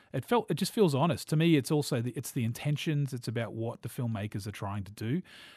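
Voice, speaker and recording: Against a quiet background, someone with a New Zealand accent talks at a very fast pace with hardly any pauses, sounding somewhat breathy, with lively intonation and big swings in loudness. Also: man, medium pitch for a man. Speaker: film podcast host. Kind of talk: casual film review chat.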